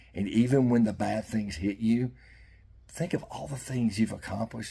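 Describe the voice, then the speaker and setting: A dark, mellow, somewhat breathy voice with fairly even intonation. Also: man. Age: 60s. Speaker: fishing YouTuber. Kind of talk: heartfelt monologue. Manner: halting.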